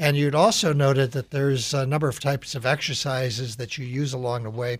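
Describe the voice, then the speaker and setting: A man with a medium-pitched, somewhat breathy voice speaks at a moderate pace with fairly even intonation. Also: very clean recording, silent background. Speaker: radio host and business executive. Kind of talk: radio interview.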